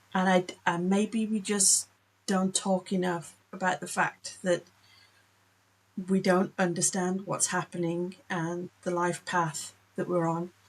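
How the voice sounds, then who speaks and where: A woman at medium pitch speaks very slowly in a flat monotone, leaving long, frequent pauses. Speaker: author and cartoonist. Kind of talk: casual talk to camera.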